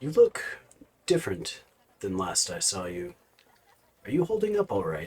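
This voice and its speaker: Using a raspy, put-on character voice, a man speaks at a moderate pace with long, frequent pauses and big swings in loudness. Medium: actual play.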